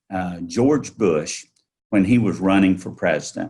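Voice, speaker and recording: A man with a Southern US accent speaks at a very deep, low pitch with ordinary pitch variation. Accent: Southern drawl. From North Carolina, Yadkin County. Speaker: entrepreneur. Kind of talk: interview.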